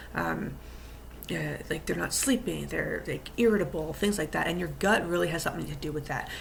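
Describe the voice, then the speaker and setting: A woman talks at a fairly quick pace. Audible room echo and noticeable background noise fill the recording. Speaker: fitness coach. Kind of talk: casual vlog talk. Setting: Zoom video call. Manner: hesitant, many fillers.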